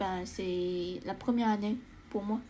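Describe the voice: A woman speaks at a medium pitch with a dark, mellow tone. Her pace is fairly slow and her intonation fairly even.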